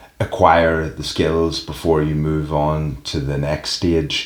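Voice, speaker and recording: Background noise is noticeable. Through it, a man speaks in a very deep, low pitch. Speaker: professional wrestler. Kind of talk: interview.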